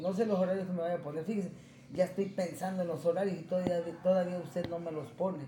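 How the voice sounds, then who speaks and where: Over noticeable background noise and audible room echo, a man talks at a very fast pace in a high, monotone voice with flat intonation. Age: 40s. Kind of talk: simulated therapy session. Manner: halting.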